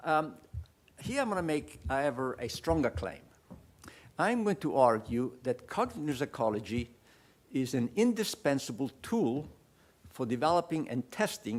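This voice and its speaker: The speaker has an Italian accent and very wide pitch swings. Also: man. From Italy. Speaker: professor. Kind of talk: lecture.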